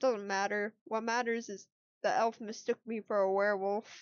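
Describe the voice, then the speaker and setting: A woman uses a put-on character voice with a fairly high pitch at a moderate pace. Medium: virtual streamer. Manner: gruff, curt.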